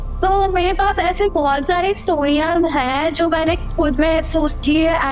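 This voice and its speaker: A woman with a high voice talks while noticeable noise carries on in the background. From Odisha, India. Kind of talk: podcast guest telling real-life ghost stories.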